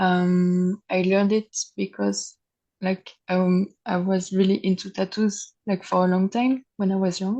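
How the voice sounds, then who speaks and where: A woman with a French accent speaks at a fairly slow pace in a medium pitch, her tone dark and mellow. Her intonation is monotone and flat, her loudness very even, and the sound dry and close with no echo over a quiet background. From France. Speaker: tattoo artist. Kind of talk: interview. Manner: halting.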